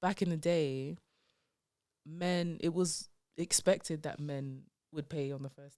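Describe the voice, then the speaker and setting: In a London accent, a woman talks at a fairly slow pace with a very deep, low pitch and a dark, mellow tone, her fairly even intonation marked by long, frequent pauses. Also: big swings in loudness. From London, England. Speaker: comedian. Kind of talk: casual chat. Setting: podcast interview.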